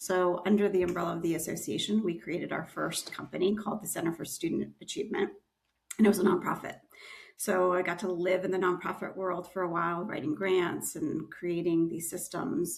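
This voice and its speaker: A woman's fairly low, fry-edged voice at a fairly quick pace, with ordinary pitch variation. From Arizona, US (moved from Romania at four). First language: Romanian. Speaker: education entrepreneur. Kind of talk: interview. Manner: fast.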